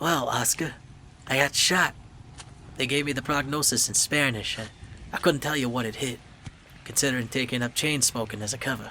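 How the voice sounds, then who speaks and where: Putting on a character voice, a hoarse man speaks at a fairly quick pace in a medium pitch with fairly even intonation. Long, frequent pauses break his lines, and clear background noise is heard. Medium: read story. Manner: wisecracking, deflecting.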